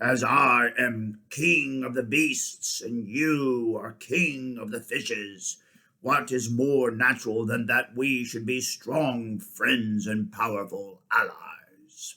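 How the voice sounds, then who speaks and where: In a put-on character voice, a man speaks very slowly yet with hardly any pauses, raspy at a medium pitch. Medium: read story. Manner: roaring, regal.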